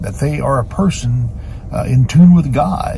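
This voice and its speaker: Noticeable background noise fills the clip. Through it, a man speaks at a fairly slow pace. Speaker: pastor. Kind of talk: short devotional talk. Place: car. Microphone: phone near.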